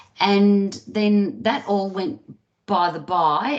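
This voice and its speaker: Her pitch moves in an ordinary way as the woman talks with an Australian accent. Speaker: therapist. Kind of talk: interview.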